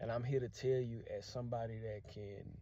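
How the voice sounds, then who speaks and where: In a Louisiana accent, a voice with a dark, mellow, somewhat breathy tone and fairly even intonation comes through with audible room echo. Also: man. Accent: Louisiana accent, keeps it. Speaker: language teacher vlogger. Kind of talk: casual vlog monologue.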